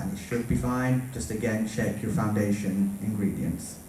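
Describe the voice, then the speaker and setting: A man talks with a British accent. Noticeable background noise and audible room echo surround him. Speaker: cosplay makeup panelist. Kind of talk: convention panel talk. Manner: fast when nervous.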